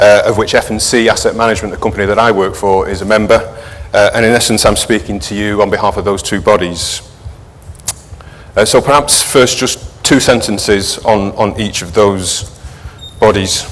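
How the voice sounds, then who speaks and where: Amid noticeable background noise and audible room echo, a man with a fairly low voice speaks at a moderate pace with fairly even intonation. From northern England, Manchester. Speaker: sustainability manager at an investment firm. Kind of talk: conference presentation. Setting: conference stage with audience.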